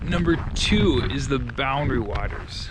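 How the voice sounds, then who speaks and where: The man has an American accent. Noticeable background noise runs underneath. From Minnesota, Rochester. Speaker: real estate agent. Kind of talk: casual vlog. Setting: outdoors. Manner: loud; halting.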